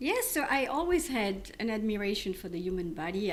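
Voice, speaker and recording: Lively intonation in a French accent at a moderate pace, with audible room echo and noticeable background noise. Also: woman. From France. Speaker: physician. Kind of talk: podcast interview. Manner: halting.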